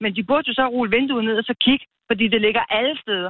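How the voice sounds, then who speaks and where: Talking at a very fast pace, a woman uses a fairly high pitch with ordinary variation. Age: 50s. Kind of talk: casual phone interview.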